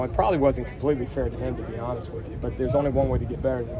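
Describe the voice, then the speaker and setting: A man speaks very fast over noticeable background noise. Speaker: football coach. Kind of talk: interview answer. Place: street.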